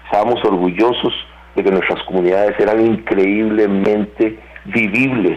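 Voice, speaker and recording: Flat, monotone speech at an average speed, with clear background noise behind it. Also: man, fairly low pitch for a man. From Costa Rica. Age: 60s. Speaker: security analyst. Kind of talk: interview. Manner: measured, with frequent fillers.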